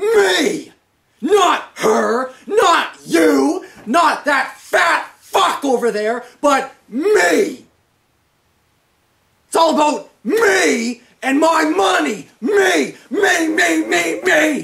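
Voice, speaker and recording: Someone shouts in a put-on character voice, high in pitch. Delivery is very slow, with very wide pitch swings. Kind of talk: comic overacting. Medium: comedy sketch. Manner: furious, yelling, profane, self-centered.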